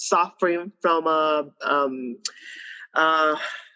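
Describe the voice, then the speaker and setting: A woman speaks with a Spanish accent. Her pitch is fairly low, with ordinary variation. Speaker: bulimia survivor and entrepreneur. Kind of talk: testimony. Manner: halting.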